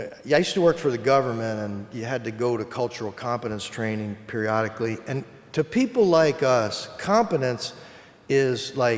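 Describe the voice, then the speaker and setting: A man with an ordinary speaking voice, ordinary pitch variation and a moderate pace. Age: 60s. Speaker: psychologist and keynote speaker. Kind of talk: keynote speech. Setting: conference stage with audience.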